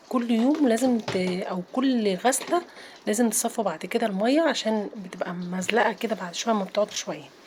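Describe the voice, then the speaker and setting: Amid noticeable background noise, a woman with a fairly high pitch speaks at a moderate pace with lively intonation. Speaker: home routine vlogger. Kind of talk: casual vlog narration. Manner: chatty, informal.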